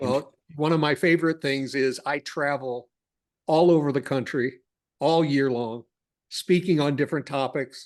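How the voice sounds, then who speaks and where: In a normal speaking voice, a man talks at a moderate pace and fairly high pitch with fairly even intonation against a quiet background. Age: 60s. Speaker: cash flow consultant. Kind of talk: podcast interview.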